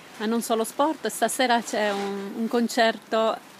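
At a fairly slow pace, a woman speaks with a fairly high pitch and fairly even intonation. Faint background noise can be heard.

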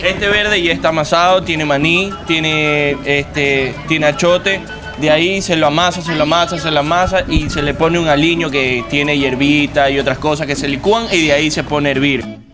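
A man speaks at a fairly quick pace over clear music in the background. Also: fairly even intonation. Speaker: cafe co-owner. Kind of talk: casual interview answer. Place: kitchen. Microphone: handheld.

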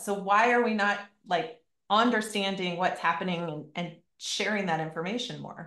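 Against a quiet background with audible room echo, a woman talks at a medium pitch. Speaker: podcast host and fitness coach; podcast host, fitness coach. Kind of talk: casual chat. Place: home room. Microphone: video call.

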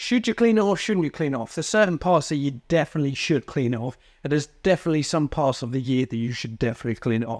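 A man rattles off his words at a very fast pace against a quiet background. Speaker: presenter. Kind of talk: tutorial. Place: workshop. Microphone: lapel.

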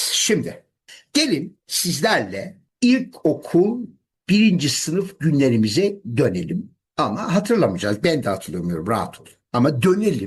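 A man's fairly high voice with vocal fry, very wide pitch swings, and a fairly slow pace. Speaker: English teacher. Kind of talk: lecture. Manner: animated.

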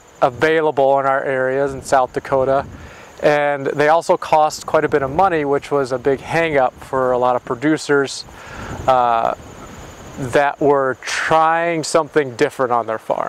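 The man talks at a moderate pace with fairly even intonation. His sound is dry with no echo, with light background noise. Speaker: presenter. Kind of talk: explanatory interview talk. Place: open country. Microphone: lapel.

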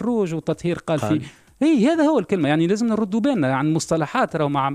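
A man speaks with a dark, mellow tone and lively intonation. The sound is dry with no echo, against a quiet background. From Tunisia. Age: 50s. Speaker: party leader, politician; politician. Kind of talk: radio interview. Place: studio. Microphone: studio mic.

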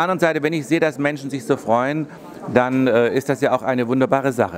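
The voice moves at a fairly quick pace with ordinary pitch variation over light background noise. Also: man. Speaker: fashion designer and painter. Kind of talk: interview answer. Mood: upbeat, pleased. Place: shop. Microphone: handheld.

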